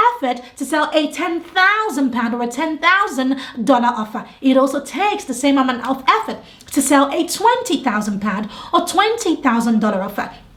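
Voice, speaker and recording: A woman with a British accent speaks in a high pitch and an animated tone, her voice swinging very widely in pitch over noticeable background noise. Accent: British (UK). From England, London. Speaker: business coach. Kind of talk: tutorial.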